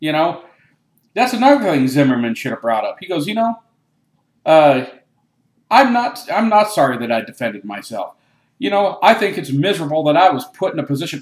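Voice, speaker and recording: Fairly high-pitched for a man, this male voice has an animated tone, very wide pitch swings, a fairly quick pace and long, frequent pauses. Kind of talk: political commentary talk. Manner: animated, opinionated.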